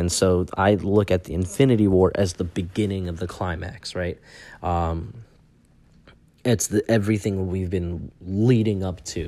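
On a very clean recording with a silent background, a man with an American accent speaks in a very deep, low, dark and mellow voice. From US Northeast, Long Island, New York. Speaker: podcast host, English teacher. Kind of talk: casual solo monologue. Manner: casual, many filler words.

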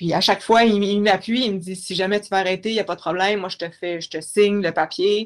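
This woman talks fairly quickly at a medium pitch. Her delivery is monotone and flat. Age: 30s. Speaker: guest with multiple sclerosis. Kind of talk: interview.

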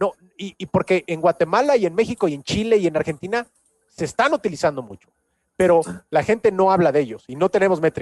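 Dry and close with no echo, a voice in a Mexican accent races at a very fast pace with lively intonation and big swings in loudness. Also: man, high pitch for a man. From Mexico City. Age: 30s. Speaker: personal branding coach. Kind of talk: casual interview.

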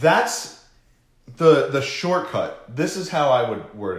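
A man speaks at a fairly slow pace with lively intonation. His voice is somewhat breathy, and there is audible room echo. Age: 30s. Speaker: social media marketing podcast host. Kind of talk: casual chat.

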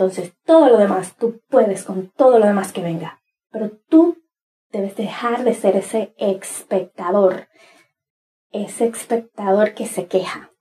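A somewhat breathy voice with a dark, mellow tone moves at a fairly slow pace with ordinary pitch variation. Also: woman, medium pitch for a woman. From Dominican Republic, Cibao region. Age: 30s. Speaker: podcast host, inspirational speaker. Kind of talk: motivational monologue. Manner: animated.

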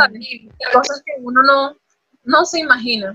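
The woman's intonation stays fairly even. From Venezuela. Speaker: model and athlete. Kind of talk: casual chat. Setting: video call.

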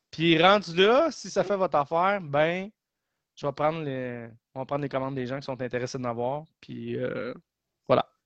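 With a fairly high pitch and ordinary pitch variation, a man talks at a moderate pace in a dry, close sound with no echo over a quiet background. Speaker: podcast co-host. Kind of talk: casual chat.

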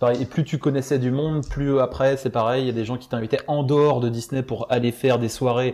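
Over a quiet background, a man talks at a medium pitch with a dark, mellow tone and fairly even intonation. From France. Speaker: former theme park employee. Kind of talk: casual chat. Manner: halting.

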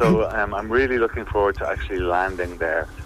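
A man with an Irish accent at a fairly quick pace, over noticeable background noise. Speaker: filmmaker and musician. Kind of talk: interview.

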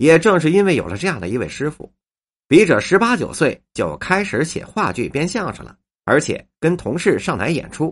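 A man with a Beijing accent speaks at a moderate pace in a fairly high pitch, his lively intonation carrying vocal fry and big swings in loudness over a quiet background. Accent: Beijing Mandarin. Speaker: writer and storyteller. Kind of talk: scripted narration.

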